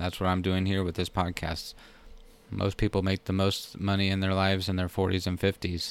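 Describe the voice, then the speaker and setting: With an American accent, the speaker talks at a fairly quick pace in a flat monotone, keeping the loudness very even. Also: man, very deep, low pitch for a man. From Texas. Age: 30s. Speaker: podcast host, money and retirement advice. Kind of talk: podcast monologue, educational talk.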